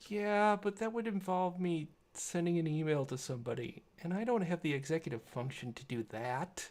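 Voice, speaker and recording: A very clean recording with a silent background, moderate pace and hardly any pauses. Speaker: tech streamer. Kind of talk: live stream tinkering commentary. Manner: halting.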